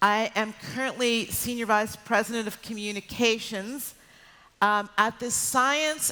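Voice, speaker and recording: A woman with an American accent speaks at a fairly slow pace in a fairly high pitch, her pitch varying in an ordinary way over noticeable background noise. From United States. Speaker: PR executive. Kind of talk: keynote talk. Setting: stage with audience.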